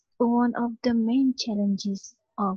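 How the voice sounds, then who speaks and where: Her intonation is monotone and flat, and she sounds somewhat breathy. The woman speaks at a fairly slow pace. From India. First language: not English (ESOL learner). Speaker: language student. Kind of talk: interview.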